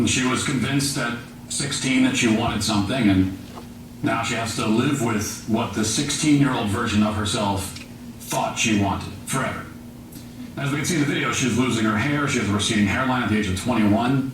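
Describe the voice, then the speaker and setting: A man's medium-pitched voice at a fairly quick pace with fairly even intonation, audible room echo, and noticeable background noise. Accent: American. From Virginia, Shenandoah Valley. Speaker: journalist and speaker. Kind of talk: public talk. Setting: venue with live audience.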